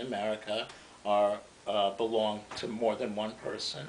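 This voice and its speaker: There is audible room echo as the words come at a fairly slow pace. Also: man. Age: 60s. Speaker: economics commentator. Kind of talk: lecture. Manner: halting.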